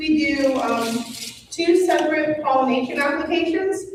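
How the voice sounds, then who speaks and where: A loud voice at a moderate pace with ordinary pitch variation, amid noticeable background noise and audible room echo. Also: woman. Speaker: conservation district staff. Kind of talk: informational presentation.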